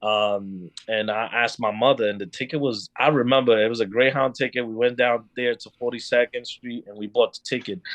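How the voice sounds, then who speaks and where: In a New York accent, a man at medium pitch talks with hardly any pauses, fairly even intonation and big swings in loudness. The sound is dry and close with no echo, over a quiet background. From Dominican Republic, then Bronx, New York. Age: 30s. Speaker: podcast guest. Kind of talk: casual chat. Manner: halting, many fillers.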